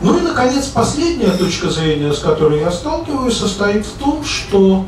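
Noticeable background noise and audible room echo surround a man speaking with lively intonation. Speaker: economist and discussion moderator. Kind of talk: moderated public discussion. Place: hall.

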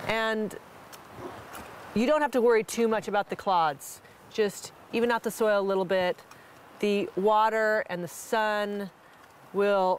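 A woman speaks at a fairly slow pace with ordinary pitch variation, pausing long and often in a dry recording with no echo. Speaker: gardening instructor. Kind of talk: tutorial. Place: garden. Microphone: lapel.

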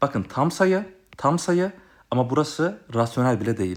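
A man with a fairly high pitch talks fairly quickly, his pitch swinging very widely. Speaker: math tutor. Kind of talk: tutorial. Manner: fast.

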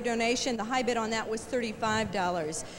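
Music plays in the background as a woman speaks fairly quickly in an American accent. Her tone is upbeat and her intonation lively. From United States. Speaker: radio DJ. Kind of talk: TV fundraiser auction presentation. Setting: television studio. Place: studio. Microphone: handheld.

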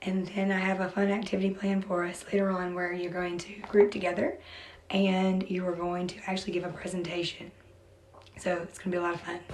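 Over noticeable background noise and audible room echo, a woman talks at medium pitch and a fairly quick pace with monotone, flat intonation. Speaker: teacher. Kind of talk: classroom lesson.

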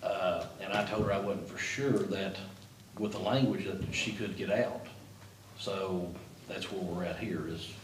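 There is noticeable background noise under a man's voice. He speaks at a fairly slow pace with fairly even intonation and long, frequent pauses. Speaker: city official reporting to commission. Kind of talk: meeting discussion. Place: meeting room. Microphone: camera far.

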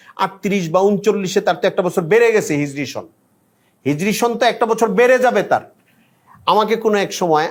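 The man speaks with lively intonation. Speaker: Islamic scholar / preacher. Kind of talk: religious talk.

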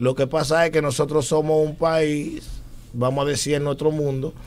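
A man with a Dominican accent speaks at a moderate pace in a flat, monotone delivery. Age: 30s. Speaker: musician; talk show guest. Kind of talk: casual chat. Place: studio. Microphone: studio mic.

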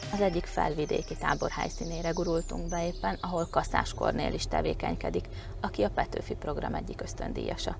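A woman speaks at a fairly quick pace. The sound is dry with no echo, and there is noticeable background noise. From southern Slovakia (Hungarian minority). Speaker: reporter. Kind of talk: interview; on-location reporting. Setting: indoors at a summer camp. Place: car. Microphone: lapel.

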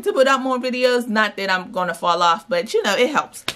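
This woman's tone is bright and sharp. Her pitch varies in an ordinary way. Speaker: lifestyle vlogger. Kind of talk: shopping haul vlog. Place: home room. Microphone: phone near.

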